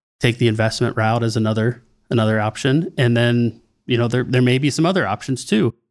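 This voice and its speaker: A man with a plain, everyday voice at medium pitch, ordinary pitch variation and very even loudness, on a very clean recording with a silent background. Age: 40s. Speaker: sales and marketing consultant. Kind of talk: podcast interview.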